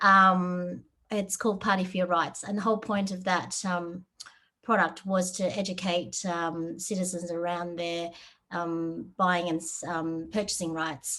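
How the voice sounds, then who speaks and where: A woman with an Australian accent speaks at a fairly slow pace in a fairly low, bright, sharp voice with monotone, flat intonation. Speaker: software developer. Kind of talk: webinar talk. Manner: hesitant, many fillers.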